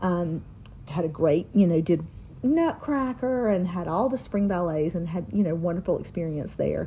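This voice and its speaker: A woman with a Southern US accent, fairly low in pitch, dark and mellow in tone, somewhat breathy, with lively intonation at a moderate pace. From North Carolina. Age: 40s. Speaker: dance teacher and podcast co-host. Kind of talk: casual chat.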